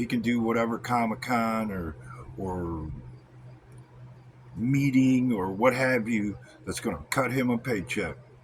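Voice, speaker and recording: A man with a medium pitch speaks at a fairly slow pace. His pitch varies ordinarily, and he makes long, frequent pauses. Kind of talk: wrestling-style promo rant to camera. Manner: angry, confrontational.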